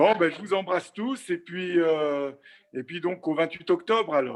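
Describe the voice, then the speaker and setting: A man talks at a moderate pace in a high pitch with ordinary pitch variation. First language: French. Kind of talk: casual greeting.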